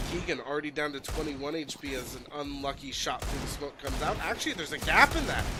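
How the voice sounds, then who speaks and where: A man with an American accent speaks at a very fast pace, his pitch swinging very widely. Noticeable background noise runs underneath. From United States. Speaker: esports caster. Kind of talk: live commentary. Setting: livestream. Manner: animated.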